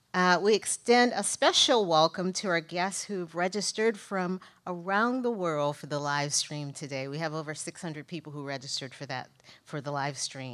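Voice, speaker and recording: Against a quiet background, a woman with a fairly low pitch speaks at a moderate pace, her loudness swinging widely. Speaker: event host. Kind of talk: welcome introduction speech. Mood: warm, welcoming. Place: hall. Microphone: podium.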